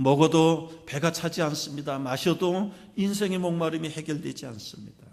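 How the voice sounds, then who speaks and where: A man with a fairly high pitch speaks over audible room echo. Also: fairly even intonation, moderate pace. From South Korea, Jeolla region (Suncheon area). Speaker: pastor. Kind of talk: sermon.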